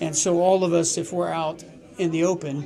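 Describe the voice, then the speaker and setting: Fairly quick and high-pitched, a man talks with an American accent and fairly even intonation. Noticeable background noise and audible room echo are present. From Colorado, US. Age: 50s. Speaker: ocean rower. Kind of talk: interview.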